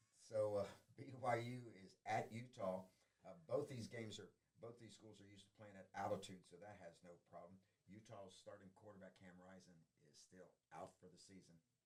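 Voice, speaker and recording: A fairly quick delivery with a slight Southern US accent, ordinary pitch variation, big swings in loudness and long, frequent pauses. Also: man, fairly low pitch for a man. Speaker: high school sports show host. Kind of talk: casual sports picks chat.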